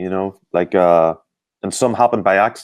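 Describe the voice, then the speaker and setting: A man with an Irish accent speaks at a moderate pace in a fairly low pitch, recorded very cleanly against a silent background. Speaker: sports performance expert. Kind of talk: interview. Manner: hesitant, many fillers.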